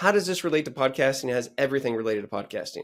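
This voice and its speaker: Over a silent background in a very clean recording, the speaker sounds animated, with lively intonation. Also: man. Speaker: podcast host and speaker. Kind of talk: casual interview chat. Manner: fast.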